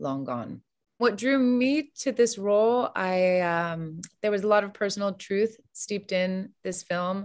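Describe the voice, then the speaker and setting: A woman's lively intonation at a fairly slow pace, against a quiet background. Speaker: actress as podcast guest. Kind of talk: interview answer. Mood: warm, reflective. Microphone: video call.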